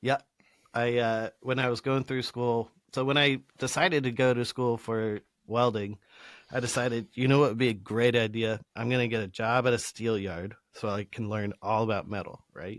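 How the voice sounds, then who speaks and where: In a very clean recording with a silent background, a man with an American accent speaks at medium pitch and a moderate pace, the sound dry and close with no echo. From Colorado. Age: 30s. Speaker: welder and former musician. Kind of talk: casual chat. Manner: animated.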